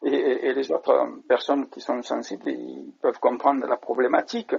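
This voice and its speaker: Big swings in loudness run through a man's speech at a moderate pace. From France, Marseille. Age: 50s. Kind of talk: interview. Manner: halting, many hesitations.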